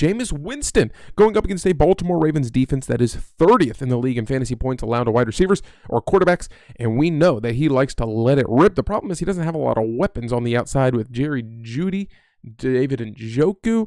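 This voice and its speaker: A man speaks at a very fast pace with a medium pitch and lively intonation. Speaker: fantasy sports analyst. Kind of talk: sports betting picks show.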